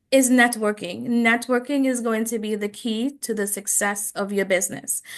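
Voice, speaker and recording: Speaking in a Trinidadian accent, a woman keeps a moderate pace, a fairly high pitch and fairly even intonation. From Trinidad and Tobago. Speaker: business coach and speaker. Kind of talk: presentation.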